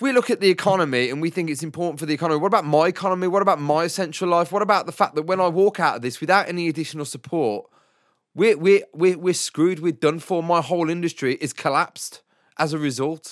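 A man speaks at a very fast pace in a furious tone, his pitch high. The recording is very clean, with a silent background. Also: ordinary pitch variation. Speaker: podcast host and musician. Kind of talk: angry rant. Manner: furious, worked-up, venting with pointed sarcasm; emphatic, rapid-fire, sweary.

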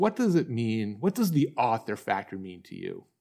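A man with a normal speaking voice, medium in pitch, lively in intonation, at a moderate pace, on a very clean recording with a silent background. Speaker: podcast host and book publishing coach. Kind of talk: interview conversation.

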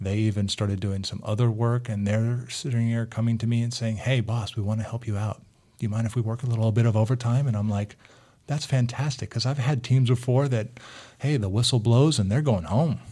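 Somewhat breathy and dark, mellow in tone, a man with an American accent talks at a fairly quick pace, at a medium pitch, with fairly even intonation. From US, Greek American family. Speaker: school district technology director. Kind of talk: casual interview.

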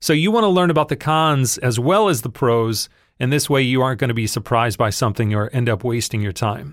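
A man speaks in a normal speaking voice at a medium pitch, moving at a fairly quick pace with lively intonation. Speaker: podcast host and voiceover teacher. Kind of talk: tutorial.

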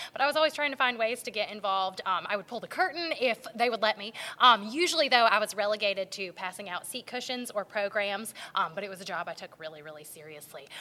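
A woman with an American accent and a fairly high pitch, very fast pace, lively intonation, big swings in loudness, and noticeable background noise. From North Carolina (Garner). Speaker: teacher and theater performer. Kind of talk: casual interview. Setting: performing arts center.

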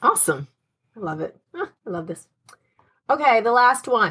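A woman's bright, sharp tone. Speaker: podcast host.

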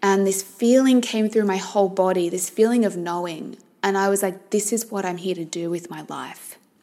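At a moderate pace, a woman speaks with hardly any pauses and fairly even intonation at a medium pitch. Hers is a plain, everyday voice. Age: 30s. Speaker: life coach and podcast host. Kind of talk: solo monologue podcast. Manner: warm, conversational.

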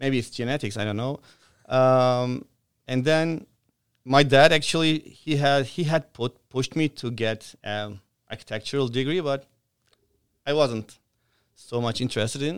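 A man with a non-native accent speaks at a moderate pace and medium pitch, with ordinary pitch variation and long, frequent pauses. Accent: foreign-accented English. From outside Canada, immigrant. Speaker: franchise operator in construction. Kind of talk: casual interview chat.

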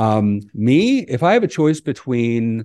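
Medium-pitched male speech in an American accent. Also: quiet background. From US East Coast. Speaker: cybersecurity company CEO. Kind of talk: interview conversation. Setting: video call.

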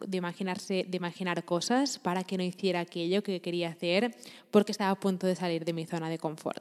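A woman's medium-pitched voice moves at a fairly quick pace, its intonation monotone and flat. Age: 20s. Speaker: podcaster and entrepreneurship coach. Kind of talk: motivational monologue.

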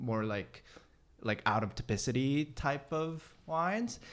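A man talks at a fairly slow pace in a normal speaking voice. His pitch varies in an ordinary way, and the recording is very clean with a silent background. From South Korea, then Boston and New Hampshire from seventh grade. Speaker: restaurant beverage director. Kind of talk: casual chat.

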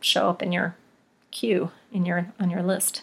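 In an American accent, a woman with an ordinary speaking voice talks fairly slowly at medium pitch on a very clean recording with a silent background. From West Virginia. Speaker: podcast host, pediatrician. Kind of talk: casual solo podcast monologue. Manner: casual, many filler ums.

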